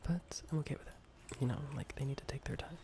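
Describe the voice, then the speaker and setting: Against noticeable background noise, a man whispers at a moderate pace. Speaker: ASMR gaming creator. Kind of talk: casual gaming commentary. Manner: soft-spoken, whispered.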